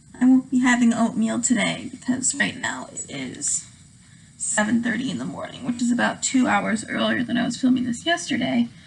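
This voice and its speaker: A woman at a moderate pace with noticeable background noise. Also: big swings in loudness. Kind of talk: casual get-ready-with-me talk to camera. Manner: calm.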